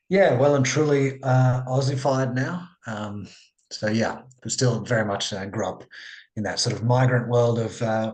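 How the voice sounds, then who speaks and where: With a strong Australian accent, a man speaks at a medium pitch amid audible room echo. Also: ordinary pitch variation, moderate pace. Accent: broad Australian. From Australia (immigrated from Sri Lanka at age two). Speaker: psychologist. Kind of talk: podcast interview. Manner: casual, with many fillers.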